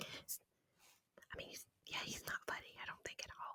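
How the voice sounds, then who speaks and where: Whispering at a moderate pace, dry and close with no echo. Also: woman. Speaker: ASMR creator. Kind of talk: casual chatty talk to camera. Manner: whispered, close-mic.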